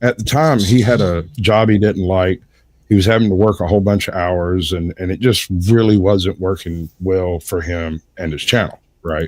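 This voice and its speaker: In a very clean recording with a silent background, the voice moves at a moderate pace with ordinary pitch variation. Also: man, very deep, low pitch for a man. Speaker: livestream panelist. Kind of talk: casual chat. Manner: almost lyrical, rhythmic phrasing.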